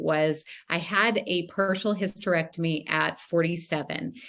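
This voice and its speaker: A woman speaks in a plain, everyday voice, fairly low in pitch with ordinary pitch variation. The background is quiet. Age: 50s. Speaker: wellness advocate. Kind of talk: panel discussion.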